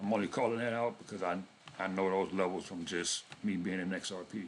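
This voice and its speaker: A man at a fairly quick pace with monotone, flat intonation. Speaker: crypto trading youtuber. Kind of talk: casual chart analysis tutorial. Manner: fast; casual.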